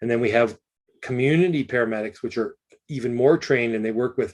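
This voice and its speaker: A man with a Canadian accent, a normal speaking voice, medium pitch and fairly even intonation. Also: very clean recording, silent background. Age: 50s. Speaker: emergency physician. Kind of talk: lecture.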